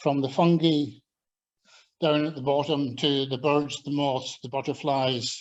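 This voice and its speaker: In a slight Scottish accent, a man talks at a fairly slow pace with fairly high pitch and monotone, flat intonation. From Scotland. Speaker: agricultural scientist and former lecturer. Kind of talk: invited talk with slides. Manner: hesitant, with fillers.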